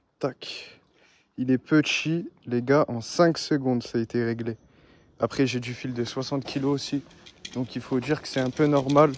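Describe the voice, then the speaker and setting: Pausing often and at length, a man speaks at a fairly slow pace. His pitch is medium, with fairly even intonation. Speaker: angler. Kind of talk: live commentary while fishing. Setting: outdoors.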